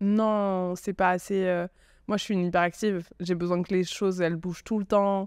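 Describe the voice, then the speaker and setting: The recording is very clean and the background silent. A woman talks with flat, monotone intonation. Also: medium pitch for a woman, moderate pace. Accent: southern French. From southern France, Aveyron. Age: 30s. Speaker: communications agency founder. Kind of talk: podcast interview. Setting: hotel.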